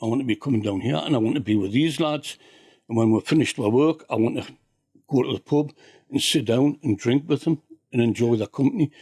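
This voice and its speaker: A man talks at a very fast pace and a medium pitch with ordinary pitch variation. The sound is dry and close with no echo. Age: 70s. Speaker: retired fisherman, heritage project chair. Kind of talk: casual interview chat.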